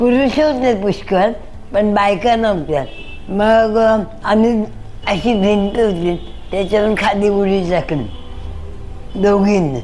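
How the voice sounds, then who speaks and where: With music in the background, a woman speaks at medium pitch and at a very even loudness. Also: ordinary pitch variation. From Mumbai, India. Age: 80s+. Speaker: former Ram temple movement volunteer. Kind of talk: interview answer, recalling memories.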